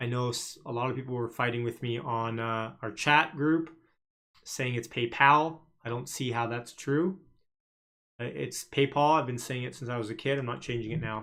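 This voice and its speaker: A man speaks with a Canadian accent at a moderate pace and medium pitch. His intonation is fairly even, and it is a plain, everyday voice. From Canada. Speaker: stock market livestreamer. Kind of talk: live stream commentary. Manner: casual, filler-heavy.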